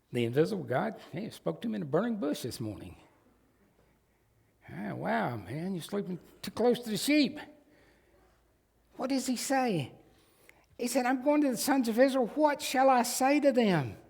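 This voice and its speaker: In a room with audible echo, a man with a high pitch and an American accent speaks at a moderate pace with lively intonation and long, frequent pauses. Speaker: pastor. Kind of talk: sermon. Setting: church.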